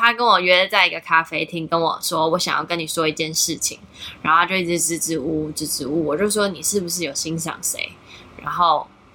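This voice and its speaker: A woman with a normal speaking voice talks at a fairly quick pace, her fairly low pitch carried on fairly even intonation. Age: 30s. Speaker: content creator. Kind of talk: casual chat.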